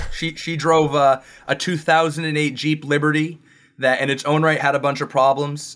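The recording is very clean, with a silent background. It carries an ordinary speaking voice at a moderate pace with fairly even intonation. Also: man. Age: 30s. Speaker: investment wholesaler. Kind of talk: casual chat.

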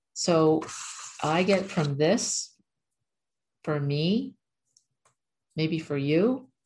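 Somewhat breathy, a woman speaks with a very deep, low pitch and lively intonation. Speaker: spiritual channeler and numerology video host. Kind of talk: casual spiritual talk to camera with guided meditation and channeled message. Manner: talkative.

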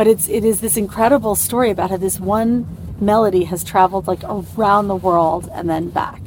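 A woman with a New York accent, hardly any pauses, and noticeable background noise. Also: moderate pace. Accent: New York American. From US, New York. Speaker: TV showrunner. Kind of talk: interview in a moving car.

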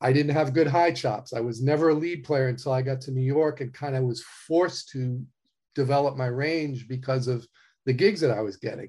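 A man at a medium pitch talks at a fairly quick pace with fairly even intonation. His tone is dark, mellow and somewhat breathy. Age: 60s. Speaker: touring trumpet player. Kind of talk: casual interview conversation.

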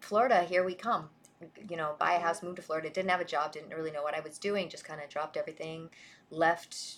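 A woman with an American accent talks at a fairly quick pace in a normal speaking voice. Her pitch is fairly low with ordinary variation, and her loudness swings widely. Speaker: online show host. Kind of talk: moderated online discussion. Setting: online audio space.

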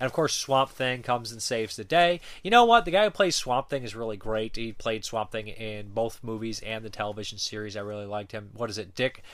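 A plain, everyday voice at a fairly quick pace, with ordinary pitch variation, hardly any pauses and a very clean recording with a silent background. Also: man, medium pitch for a man. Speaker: film reviewer. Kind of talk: casual review monologue. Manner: casual with frequent fillers.

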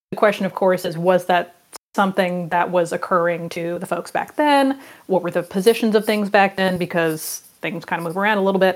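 Using a plain, everyday voice, a woman at medium pitch talks at a fairly quick pace with ordinary pitch variation. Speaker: archaeologist and TV producer. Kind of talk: casual chat.

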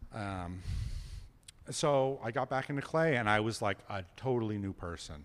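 Lively intonation in an American accent, at a moderate pace. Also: man, medium pitch for a man. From New York. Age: 50s. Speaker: ceramic artist. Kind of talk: casual interview. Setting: studio. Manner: dry, nonchalant delivery.

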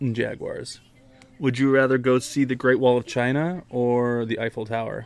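Fairly even intonation marks a plain, everyday voice speaking at a middling speed. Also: man, medium pitch for a man. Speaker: podcast host and father. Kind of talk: casual chat.

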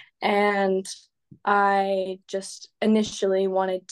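The setting behind her is quiet. She is a woman talking with an American accent. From California. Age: 20s. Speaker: fitness influencer and student. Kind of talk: podcast interview. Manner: hesitant, many fillers.

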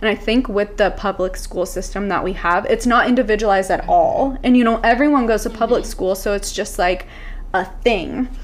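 The speaker uses ordinary pitch variation, with noticeable background noise behind them. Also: woman, fairly high pitch for a woman, fairly quick pace. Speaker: mom influencer. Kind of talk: casual chat. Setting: Airbnb room. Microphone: echoey room audio.

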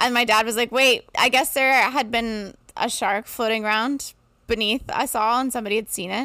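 Speaking at a moderate pace with an American accent, a woman uses a bright, sharp tone at a fairly high pitch with fairly even intonation. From upstate New York. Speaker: comedian and soup kitchen organizer. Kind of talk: casual chat. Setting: video call.

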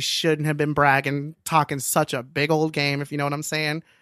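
On a very clean recording with a silent background and a dry, close sound with no echo, a man speaks at a moderate pace in a fairly high pitch, his tone animated, bright and sharp. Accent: American. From Los Angeles. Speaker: guest on advice podcast. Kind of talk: casual chat.

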